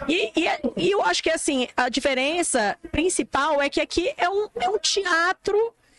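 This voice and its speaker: A woman with an extremely high voice speaks fairly slowly, her intonation lively and her loudness very even. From Amazonas, Brazil. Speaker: influencer. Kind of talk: interview.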